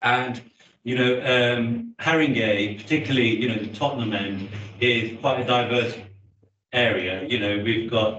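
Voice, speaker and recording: There's audible room echo as a man with a medium pitch speaks at a fairly slow pace. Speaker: councillor. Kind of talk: committee meeting. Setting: hybrid council meeting. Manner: loud.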